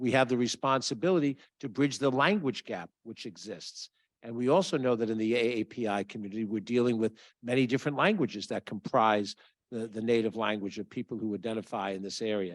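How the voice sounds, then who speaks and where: A man's medium-pitched, ordinary speaking voice with ordinary pitch variation and a fairly quick pace, dry and close with no echo, against a quiet background. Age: 60s. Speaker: county official. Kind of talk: public speech.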